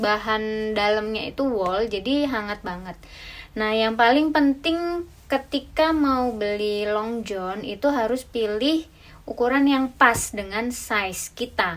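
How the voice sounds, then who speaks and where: Speaking very slowly, a woman shows ordinary pitch variation. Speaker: travel vlogger. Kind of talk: tutorial. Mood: cheerful, friendly. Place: home room. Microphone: camera far.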